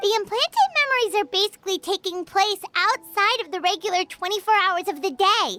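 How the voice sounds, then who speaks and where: Faint music plays behind a put-on character voice pitched extremely high and delivered at a fairly quick pace. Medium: fan dub. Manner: excitable, fast.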